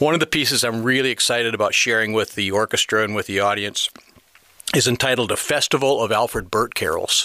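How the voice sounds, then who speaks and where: A man with a Midwestern American accent at a very fast pace, medium in pitch with ordinary variation, his loudness very even, the sound dry and close with no echo, noticeable noise in the background. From northern Illinois, Rockford. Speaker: retired band director and guest conductor. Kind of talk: interview. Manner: halting, with fillers.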